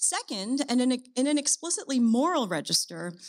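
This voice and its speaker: Pitched fairly high, a woman swings her pitch very widely at a moderate pace. The background is quiet. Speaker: philosophy professor. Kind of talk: academic lecture. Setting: stage with audience. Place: stage. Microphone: podium.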